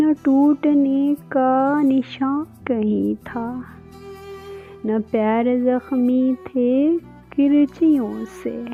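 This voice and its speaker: A high-pitched woman's voice with fairly even intonation over music in the background. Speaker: poetry reader. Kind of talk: Urdu poetry reading.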